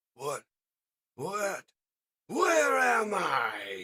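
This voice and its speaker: A man's angry, put-on character voice, pitched high. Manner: angry, bellowing.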